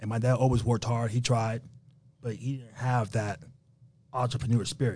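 A man with a New York accent, medium in pitch, somewhat breathy and monotone, at a moderate pace with long, frequent pauses. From New York, Haitian family. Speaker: rental car entrepreneur. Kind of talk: interview. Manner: casual.

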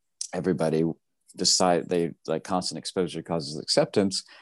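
The speaker has an American accent. The sound is dry and close with no echo, against a quiet background. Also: man. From Tennessee, US South. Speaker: fashion designer. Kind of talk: interview.

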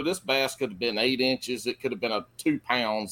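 A man talks with a Carolina Southern accent. His pitch is medium and his intonation lively. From South Carolina. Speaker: fishing podcast co-host. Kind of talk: casual chat.

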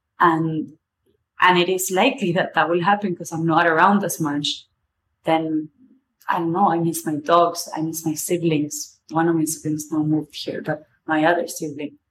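In a strong Argentine accent, a woman speaks at a moderate pace with a fairly low pitch and fairly even intonation. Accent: strong Argentinian Spanish accent in English. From Argentina. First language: Spanish. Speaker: podcast host. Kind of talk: solo monologue. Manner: casual, informal with swearing.

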